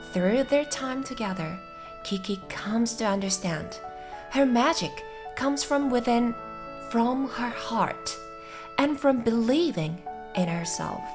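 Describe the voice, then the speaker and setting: Over music in the background, a soft-spoken woman with a fairly high pitch uses a gentle, calm tone and lively intonation, leaving long, frequent pauses. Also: fairly slow pace. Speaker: English teacher. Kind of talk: gentle read-aloud of a story summary for sleep and listening practice. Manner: gentle, soft, calm.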